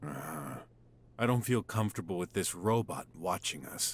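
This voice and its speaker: A man growls in a put-on character voice with a very deep, low pitch, lively intonation and a moderate pace. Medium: video game.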